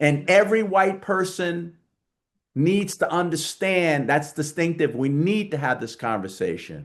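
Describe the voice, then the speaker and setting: A man speaks in a New York accent at a high pitch. His pace is fairly slow, and the background is quiet. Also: ordinary pitch variation. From New York, Queens. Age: 70s. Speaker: diversity advocate and author. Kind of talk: podcast interview. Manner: animated.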